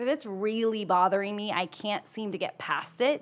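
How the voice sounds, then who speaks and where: The speaker is a woman with a normal speaking voice. Her pitch sits fairly high. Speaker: podcast co-host. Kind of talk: casual chat.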